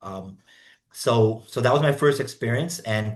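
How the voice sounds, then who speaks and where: With a medium pitch and ordinary pitch variation, a man speaks at a moderate pace in a somewhat breathy voice over a quiet background. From Brazilian, raised in Africa and Asia. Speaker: international business consultant. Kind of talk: podcast interview. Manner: hesitant, many repetitions.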